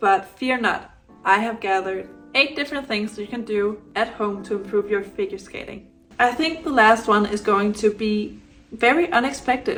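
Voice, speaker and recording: With music in the background, a woman in a Danish accent speaks at a moderate pace, her fairly high voice showing ordinary pitch variation. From Denmark. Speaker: adult beginner figure skater. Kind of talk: casual tutorial talk to camera.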